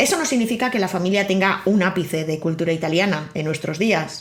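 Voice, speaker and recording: At a moderate pace, a woman speaks with medium pitch and ordinary pitch variation amid audible room echo. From Spain. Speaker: podcast host. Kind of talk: scripted narration.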